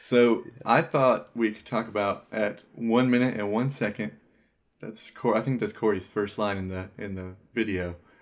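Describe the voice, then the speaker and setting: An unremarkable speaking voice from a man, medium pitch, moderate pace, ordinary pitch variation, big swings in loudness, very clean recording with a silent background. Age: 30s. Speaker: podcast co-host. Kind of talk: casual chat.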